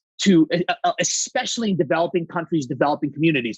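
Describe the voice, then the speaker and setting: A high-pitched man speaks loudly in an energetic, animated tone with lively intonation. The sound is dry and close, with no echo. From Saudi Arabia, Greek family. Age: 30s. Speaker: company co-founder. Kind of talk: podcast interview.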